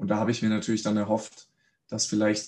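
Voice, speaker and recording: A man's fairly low-pitched voice. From Swabia, Germany (Reutlingen). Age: 30s. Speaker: mental coach, former pro footballer. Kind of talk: casual interview.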